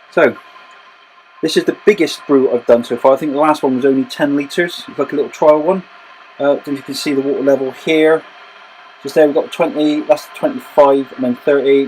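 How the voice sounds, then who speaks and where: A fairly quick delivery in a Bristol accent, against noticeable background noise. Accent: West Country (Bristol). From West Country, Bristol. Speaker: homebrewer. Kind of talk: tutorial. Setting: home brewery. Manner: casual, with fillers.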